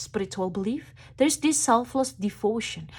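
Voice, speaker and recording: With a non-native accent, a woman talks at a fairly quick pace in a somewhat breathy voice with lively intonation, on a very clean recording with a silent background. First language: not English. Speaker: tarot reader. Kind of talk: tarot reading monologue.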